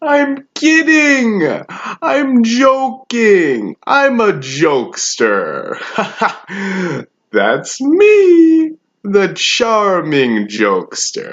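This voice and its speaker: A put-on character voice at a fairly high pitch moves at a very slow pace. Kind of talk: acting monologue. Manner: menacing, taunting.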